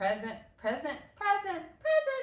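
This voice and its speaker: A woman does a squeaky put-on character voice at an extremely high pitch. She talks at a fairly slow pace, with a slight echo. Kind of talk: flat, rote. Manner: monotone.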